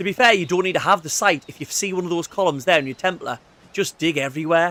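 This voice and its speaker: A man with an English accent and a high pitch, at a very fast pace. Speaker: gaming streamer. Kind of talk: casual gameplay commentary. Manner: animated.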